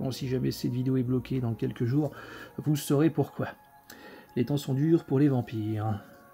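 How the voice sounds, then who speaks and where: Over music in the background, a man speaks at medium pitch and a fairly quick pace with ordinary pitch variation. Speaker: video collector reviewing film editions. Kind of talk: unboxing video. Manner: casual, hesitant with many fillers.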